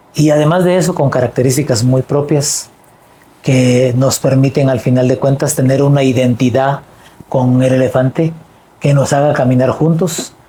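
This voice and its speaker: At a moderate pace, a man with a fairly high pitch speaks in a somewhat breathy voice with a dark, mellow tone and fairly even intonation. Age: 60s. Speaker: political party leader. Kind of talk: interview.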